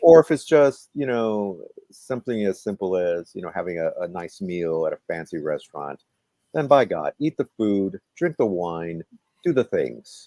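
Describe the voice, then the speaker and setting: This man has a dark, mellow tone and a fairly low pitch with very wide pitch swings. The sound is dry and close with no echo. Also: moderate pace. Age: 60s. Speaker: comedy performer and show host. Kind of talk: interview.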